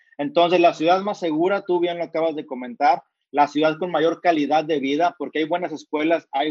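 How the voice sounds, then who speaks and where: A man talks in a fairly high voice. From Mexico, Monterrey. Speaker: entrepreneur and author. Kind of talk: interview.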